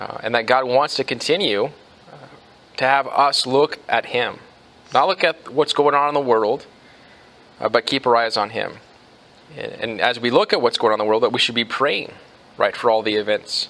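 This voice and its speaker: At a moderate pace, a man speaks with ordinary pitch variation and long, frequent pauses. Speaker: pastor. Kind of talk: sermon. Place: church.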